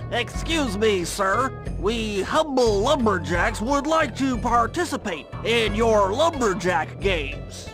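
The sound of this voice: Over clear background music, a man does a cartoonish character voice, high-pitched with big pitch swings, speaking at a slow pace with few pauses.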